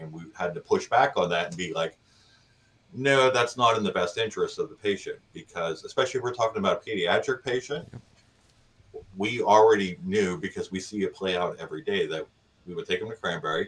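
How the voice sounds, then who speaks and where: Speaking at a fairly quick pace, a man's voice swings widely in loudness. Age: 40s. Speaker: paramedic. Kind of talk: interview podcast.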